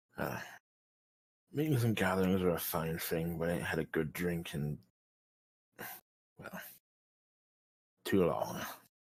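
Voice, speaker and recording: Putting on a raspy character voice at a very deep, low pitch, a man speaks at a moderate pace with long, frequent pauses. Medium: actual play. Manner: blunt, folksy.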